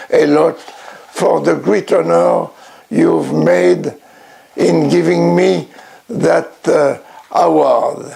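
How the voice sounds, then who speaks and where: A man speaks at a very slow pace in a French accent, with noticeable background noise. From France. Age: 90s. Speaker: blues collector and promoter. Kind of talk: acceptance speech. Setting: home record room. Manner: halting.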